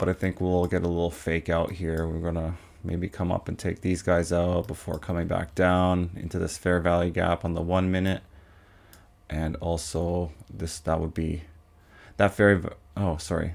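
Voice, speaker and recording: A man's very deep, low voice in a flat monotone at a moderate pace, on a very clean recording with a silent background. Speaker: day trader streaming trades. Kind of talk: live trading commentary. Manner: casual, chatty.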